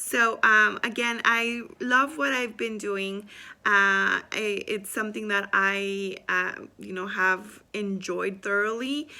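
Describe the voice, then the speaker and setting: At a very slow pace with hardly any pauses, a woman with a Spanish accent speaks at a medium pitch with ordinary pitch variation and a bright, sharp tone, in a very clean recording with a silent background. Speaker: student and business owner. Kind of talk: self-introduction video. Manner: hesitant with many fillers.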